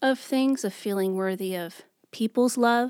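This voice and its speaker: A woman speaks with an American accent at a moderate pace, with ordinary pitch variation, in an unremarkable speaking voice. The recording is very clean, with a silent background. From New York. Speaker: church youth worker. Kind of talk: faith testimony interview.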